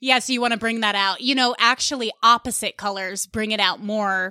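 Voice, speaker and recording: With a slight Long Island accent, a woman speaks at a fairly high pitch in a very clean recording with a silent background. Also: dry, close sound with no echo. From US Northeast (Westchester County, New York). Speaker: stand-up comedian and podcaster. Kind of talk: casual chat.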